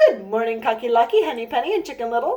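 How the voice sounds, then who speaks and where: This put-on character voice sounds female, pitched high for a woman and delivered at a very fast pace. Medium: read story.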